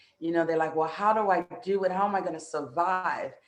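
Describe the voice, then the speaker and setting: Amid noticeable background noise, a woman talks at a medium pitch in an American accent. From New York, US (Haitian American family). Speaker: relationship coach. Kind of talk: interview.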